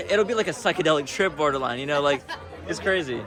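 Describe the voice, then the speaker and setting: Talking at a very fast pace in an American accent, a man sounds animated, with lively intonation and music in the background. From United States. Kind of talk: casual street interview. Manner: animated, filler-heavy speech.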